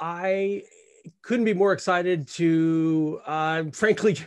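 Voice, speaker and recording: With ordinary pitch variation, a man speaks over a quiet background. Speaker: director of a photography academy. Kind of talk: live webinar host.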